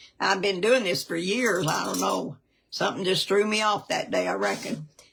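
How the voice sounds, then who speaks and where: This is a woman speaking. She has a Southern US accent. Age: 70s. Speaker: cooking show co-host, grandmother. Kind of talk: casual cooking show chat.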